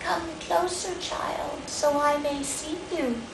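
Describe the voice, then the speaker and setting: Someone in a put-on character voice speaks very slowly against loud background noise. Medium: read story. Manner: soft, sly.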